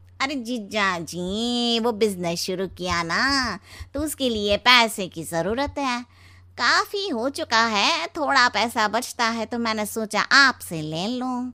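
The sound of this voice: A woman puts on a cartoonish character voice, fairly high in pitch and at a fairly slow pace.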